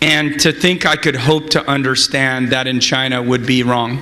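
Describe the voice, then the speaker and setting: This man keeps a moderate pace and fairly even intonation, with noticeable background noise behind him. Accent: American. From California. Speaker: venture capitalist. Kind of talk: conference interview.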